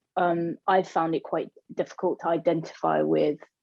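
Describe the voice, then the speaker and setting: A woman with a London accent speaks at a fairly slow pace in a dry, close sound with no echo. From London, Hackney. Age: 30s. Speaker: queer community organiser. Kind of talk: radio interview.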